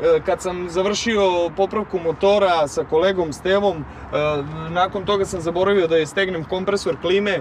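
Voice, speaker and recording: Light background noise sits under a man speaking at a moderate pace, his high pitch following a fairly even intonation. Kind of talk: casual interview chat. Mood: joking, laughing. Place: street.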